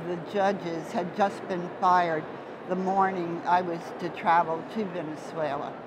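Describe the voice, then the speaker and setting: Noticeable background noise sits behind a woman speaking at a moderate pace. Her medium-pitched voice has fairly even intonation. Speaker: mycologist, interviewer. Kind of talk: oral history interview.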